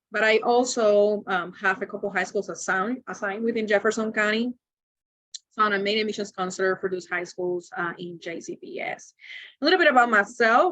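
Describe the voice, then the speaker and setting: A woman's bright, sharp voice with a Spanish accent, fairly high in pitch, with ordinary pitch variation and a fairly quick pace. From Cuba. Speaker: university admissions counselor. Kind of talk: webinar presentation. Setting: video webinar.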